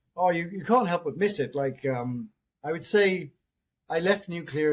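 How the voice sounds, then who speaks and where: A man with a British accent talks at a fairly quick pace, his pitch varying in an ordinary way. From UK. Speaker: mining company CEO. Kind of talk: interview.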